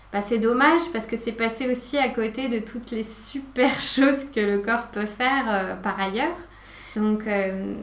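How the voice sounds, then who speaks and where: With audible room echo and noticeable background noise, a woman speaks at a fairly slow pace and a fairly high pitch. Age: 40s. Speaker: yoga teacher. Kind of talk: casual chat. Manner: soft-spoken.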